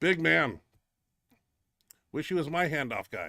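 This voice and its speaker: On a very clean recording with a silent background, a man speaks loudly in a bright, sharp tone, fairly high in pitch with ordinary variation. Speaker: powerlifter and show host. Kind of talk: casual chat. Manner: animated.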